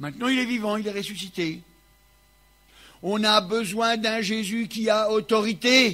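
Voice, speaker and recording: A man's high, raised and projected voice, bright and sharp in tone, at a fairly slow pace. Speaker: preacher. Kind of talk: sermon. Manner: loud.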